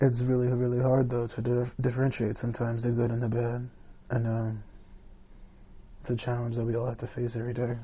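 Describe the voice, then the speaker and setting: Breathing somewhat breathily, a man talks very fast in a monotone, flat delivery broken by long, frequent pauses. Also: medium pitch for a man. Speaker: podcast host. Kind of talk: casual podcast monologue. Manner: whispered.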